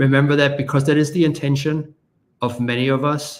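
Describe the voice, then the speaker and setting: A man talking at a moderate pace. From Germany. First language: German. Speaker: marketer and podcast host, guest on a parenting show. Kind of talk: casual interview. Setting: live stream video call.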